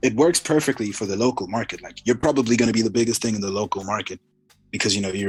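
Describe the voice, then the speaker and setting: Here a man talks with an American accent. His pitch shows ordinary variation. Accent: American-sounding. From Zimbabwe. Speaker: rapper and soccer player. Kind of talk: casual interview chat.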